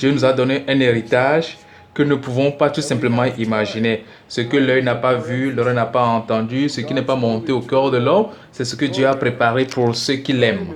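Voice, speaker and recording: Amid audible room echo and noticeable background noise, a man speaks at a moderate pace and medium pitch with fairly even intonation. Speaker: preacher teaching a seminar. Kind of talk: teaching sermon. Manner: hesitant, many filler sounds.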